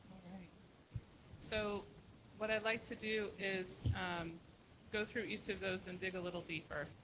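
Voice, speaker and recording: Soft-spoken and very slow, a woman speaks at medium pitch with fairly even intonation. Her tone is bright and sharp, with vocal fry. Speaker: retreat facilitator. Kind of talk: facilitated planning meeting.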